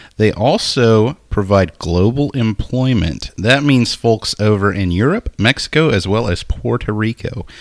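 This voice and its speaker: With an American accent, a man with a fairly low pitch speaks at a moderate pace with ordinary pitch variation, an unremarkable speaking voice. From Nacogdoches, Texas. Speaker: podcast co-host. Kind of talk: casual comedic chat.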